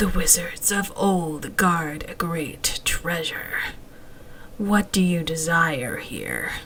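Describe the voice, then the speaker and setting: A woman's put-on character voice, raspy and breathy, fairly low in pitch and very slow, with light background noise. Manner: ominous.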